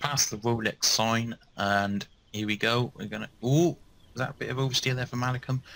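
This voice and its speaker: This man has a normal speaking voice at medium pitch, with fairly even intonation. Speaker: race commentator. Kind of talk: live race commentary, describing the on-track action as it unfolds. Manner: rapid-fire and breathless, stumbling over words with fillers as the action heats up.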